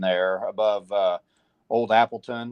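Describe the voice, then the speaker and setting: With a Missouri accent, a man speaks at a medium pitch. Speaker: weather broadcaster. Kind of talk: live weather coverage.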